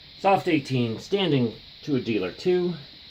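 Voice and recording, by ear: A man speaks slowly at medium pitch, his pitch swinging widely. His tone is slightly mellow.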